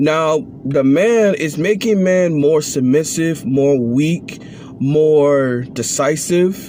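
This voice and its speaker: Over noticeable background noise, a man speaks at a fairly high pitch with lively intonation. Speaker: vlogger. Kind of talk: opinion monologue. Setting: at work on break. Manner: slow.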